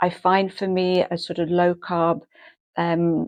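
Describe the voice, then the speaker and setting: In a quiet background, a woman speaks at a fairly low pitch. Her tone is dark and mellow. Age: 70s. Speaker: lifestyle vlogger. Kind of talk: casual talk to camera.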